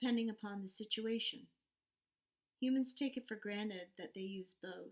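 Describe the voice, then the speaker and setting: A woman's fairly high, somewhat breathy voice moves through normal pitch changes. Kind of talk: story narration, read aloud.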